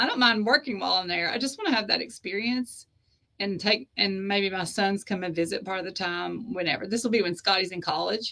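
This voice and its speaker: With a Southern US accent, a woman speaks at a fairly quick pace and medium pitch. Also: ordinary pitch variation. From US South (East Tennessee / Georgia). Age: 50s. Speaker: author and publisher. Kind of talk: interview conversation.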